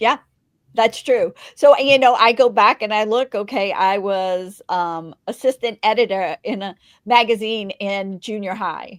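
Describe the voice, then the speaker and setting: In a very clean recording with a silent background and a dry, close sound, a woman with an unremarkable speaking voice talks fairly slowly at a fairly high pitch, with ordinary pitch variation and big swings in loudness. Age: 60s. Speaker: podcast host and magazine publisher. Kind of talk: interview. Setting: podcast.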